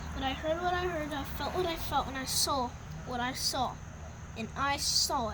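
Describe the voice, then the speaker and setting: A high-pitched put-on character voice at a moderate pace over loud background noise. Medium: read story.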